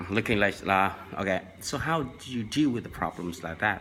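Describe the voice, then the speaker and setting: A man with a Vietnamese accent and a bright, sharp tone speaks at a moderate pace. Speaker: language tips vlogger. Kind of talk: tutorial. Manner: halting, many fillers.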